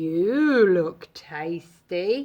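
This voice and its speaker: A woman puts on a character voice pitched fairly low. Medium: read story. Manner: mooing.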